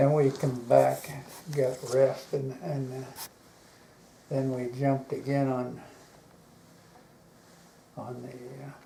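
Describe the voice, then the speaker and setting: Speaking with an American accent, a man talks at a very slow pace with long, frequent pauses. His medium-pitched voice is monotone and flat. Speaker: war veteran. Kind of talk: interview answer. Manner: hesitant, halting.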